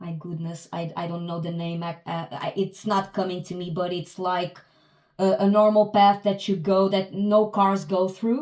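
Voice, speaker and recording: With a non-native accent, a woman talks at a moderate pace and medium pitch, her intonation fairly even but her loudness swinging widely. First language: not English. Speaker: tarot reader. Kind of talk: tarot reading. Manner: halting, many hesitations and restarts.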